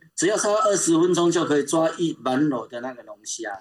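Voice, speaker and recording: The man talks in a high pitch, keeping a moderate pace and ordinary pitch variation. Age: 60s. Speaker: open-water swimmer and swimming coach. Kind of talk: casual interview. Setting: remote call.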